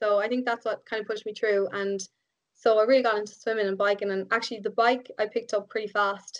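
In an Irish accent, a woman speaks at a very fast pace with monotone, flat intonation. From Ireland. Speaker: biomedical engineer and triathlete. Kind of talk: casual interview chat. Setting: remote call.

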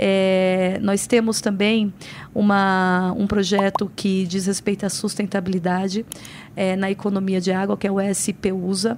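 At a medium pitch and a fairly slow pace, a woman speaks in a monotone, flat intonation with very even loudness. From São Paulo, Brazil (born in Paraíba, moved at five). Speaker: municipal secretary and lawyer. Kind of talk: interview.

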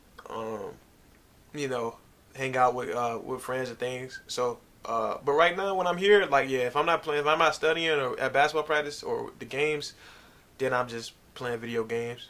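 This man has an ordinary speaking voice. His pitch sits fairly high. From US South, Virginia (Norfolk). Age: 20s. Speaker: basketball player. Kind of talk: casual interview.

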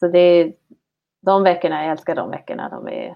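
A woman talks at a moderate pace. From Sweden, Höga Kusten (Härnösand). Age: 30s. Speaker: ski guide. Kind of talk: interview conversation. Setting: online call. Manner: halting, with repeated words. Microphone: poor online audio.

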